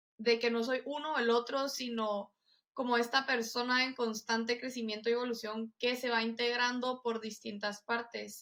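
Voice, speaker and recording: At a moderate pace, a woman with a fairly high pitch speaks in a monotone, flat way. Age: 20s. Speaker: psychologist and pilates instructor. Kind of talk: casual interview.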